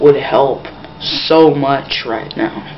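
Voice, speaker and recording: Quiet and monotone, a woman with an American accent speaks in a very deep, low pitch, with noticeable background noise and audible room echo. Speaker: vlogger. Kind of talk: opinion monologue. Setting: at home, grandparents nearby. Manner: speaking quietly; usually slow, trying to speed up.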